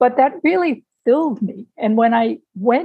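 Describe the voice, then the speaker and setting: A woman's voice sits at a fairly high pitch and sounds somewhat breathy. She talks at a fairly slow pace. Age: 60s. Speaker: retired civil servant, amateur boxer and writer. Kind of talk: interview.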